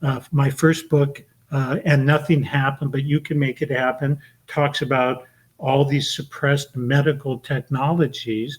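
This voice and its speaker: A somewhat breathy man with a fairly high pitch and monotone, flat intonation. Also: moderate pace. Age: 70s. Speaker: author and esoteric librarian. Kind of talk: podcast interview.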